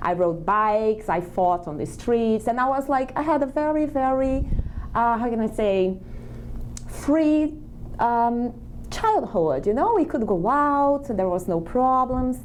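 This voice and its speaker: A woman's high voice with a Brazilian accent and lively intonation, over noticeable background noise. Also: fairly slow pace. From Brazil, small countryside town. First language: Portuguese. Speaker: immigrant guest. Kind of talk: interview.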